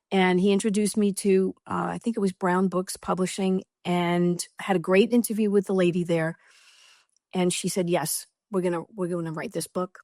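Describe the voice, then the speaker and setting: The voice has a dark, mellow tone with a New York accent. It moves at a moderate pace with monotone, flat intonation. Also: woman, medium pitch for a woman, dry, close sound with no echo, very clean recording, silent background. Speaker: author. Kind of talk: interview. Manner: blunt, direct.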